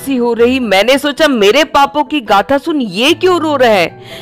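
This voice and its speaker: Music plays in the background while the speaker talks with lively intonation. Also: woman. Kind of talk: spoken-word poetry reading.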